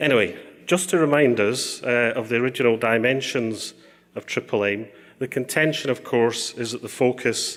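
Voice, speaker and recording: Here a man talks with an unremarkable speaking voice at a moderate pace. His pitch is medium, with ordinary pitch variation. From Canada. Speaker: health economist. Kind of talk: conference presentation.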